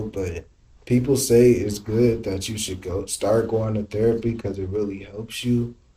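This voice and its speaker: Somewhat breathy, the man's voice has a dark, mellow tone and fairly even intonation. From Indianapolis. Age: 20s. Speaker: influencer and clothing brand owner. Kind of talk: interview answer.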